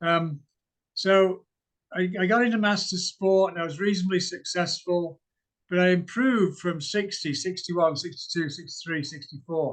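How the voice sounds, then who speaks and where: A man with a high voice speaks at a moderate pace, his intonation fairly even. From Britain. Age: 60s. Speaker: masters athlete. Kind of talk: interview.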